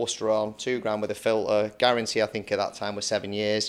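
A man speaks with a Lancashire accent. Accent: Lancashire (Bolton) English. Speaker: podcast host, plumbing and heating business owner. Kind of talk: casual interview chat.

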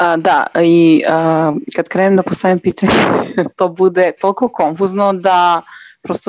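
A woman's fairly low voice at a moderate pace, fairly even in intonation, with a dry, close sound and no echo. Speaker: caller. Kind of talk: call-in conversation.

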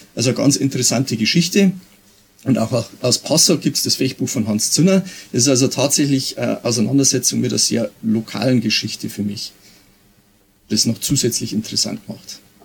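An unremarkable speaking voice belongs to a man at medium pitch, moving at a moderate pace with lively intonation. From Bavaria, Pfarrkirchen region. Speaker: police officer and historical fencing instructor. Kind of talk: interview.

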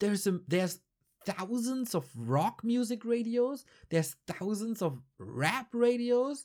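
In a very clean recording with a silent background, a man with a German accent speaks very slowly in an extremely high voice, his intonation lively. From northern Germany. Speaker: esports podcaster and caster. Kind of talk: solo casual monologue. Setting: home recording at night.

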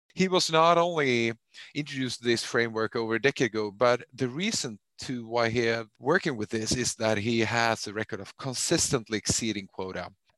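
A man with a Swedish accent at medium pitch, fairly quick, with ordinary pitch variation against a quiet background. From Sweden. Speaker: podcast host and managing director. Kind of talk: interview. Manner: halting with fillers.

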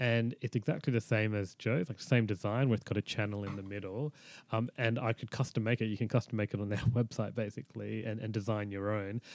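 With an Australian accent, a man talks at a fairly quick pace with hardly any pauses. His voice is fairly low, his intonation fairly even, and the sound dry and close with no echo. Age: 30s. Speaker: chronic pelvic pain patient. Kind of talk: interview. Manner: halting.

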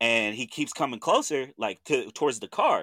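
A man with an American accent has a bright, sharp tone. The sound is dry and close with no echo, on a very clean recording with a silent background. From Oklahoma (Chandler, Lincoln County). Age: 30s. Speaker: podcast host. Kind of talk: casual chat.

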